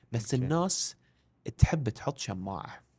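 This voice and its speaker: Here is an unremarkable speaking voice. A man talks at a moderate pace with lively intonation. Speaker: education and career coach. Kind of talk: casual interview.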